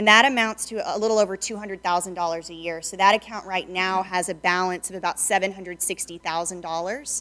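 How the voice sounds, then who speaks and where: A woman's bright, sharp voice at a medium pitch, with a fairly quick pace. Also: very clean recording, silent background. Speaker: city staff presenter. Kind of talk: budget presentation. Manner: loud.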